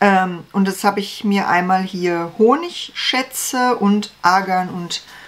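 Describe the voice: A woman's voice, fairly low in pitch.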